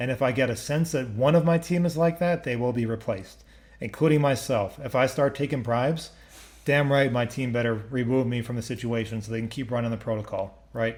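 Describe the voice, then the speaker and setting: Pitched in the medium range, a man talks at a fairly quick pace. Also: ordinary pitch variation. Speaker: crypto project founder hosting community AMA. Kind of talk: live Q&A session. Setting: online voice chat stage. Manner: fast when excited.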